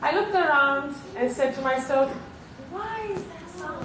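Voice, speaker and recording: A high-pitched woman's voice with a Romanian accent, audible room echo and noticeable background noise. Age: 30s. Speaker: keynote speaker, TV presenter and model. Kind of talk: keynote speech.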